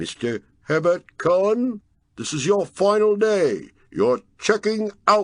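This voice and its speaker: In a put-on character voice, a man speaks high-pitched and resonant. He goes at a fairly slow pace with lively intonation. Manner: authoritative, oppressive.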